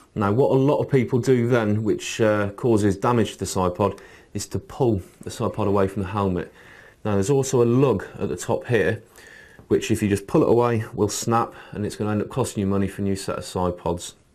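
A man with a normal speaking voice talks at a fairly quick pace, his fairly low pitch following fairly even intonation. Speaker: shop staff demonstrator. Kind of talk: tutorial. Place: studio.

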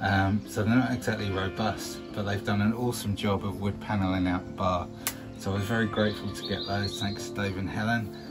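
A man's voice with ordinary pitch variation over clear music in the background. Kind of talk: casual vlog chat. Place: bar.

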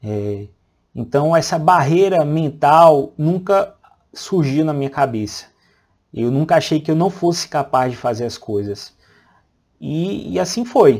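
Speaking in a fairly high pitch with lively intonation, a man goes at a fairly slow pace with long, frequent pauses over a quiet background. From interior of Bahia, Brazil. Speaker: radiologist and medical educator; radiologist, medical educator. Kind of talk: personal life story. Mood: calm, reflective. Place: home room. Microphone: lapel.

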